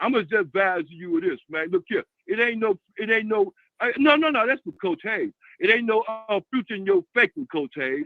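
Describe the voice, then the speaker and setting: Over music in the background, a man with a high voice makes very wide pitch swings. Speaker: caller to a live show. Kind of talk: heated debate. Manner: fast.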